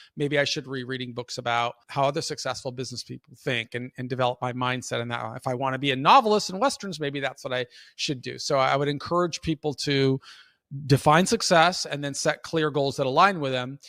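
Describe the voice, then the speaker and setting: Fairly quick speech from a man with a fairly high pitch, ordinary pitch variation and a bright, sharp tone, on a very clean, dry, close recording with no echo and a silent background. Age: 50s. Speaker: prison reform advocate and mentor. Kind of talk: interview answer.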